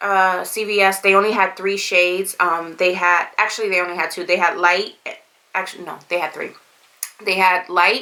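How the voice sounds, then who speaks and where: Her medium-pitched voice stays monotone and flat as the woman speaks. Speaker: beauty vlogger. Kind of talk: product review tutorial. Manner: casual, halting with fillers.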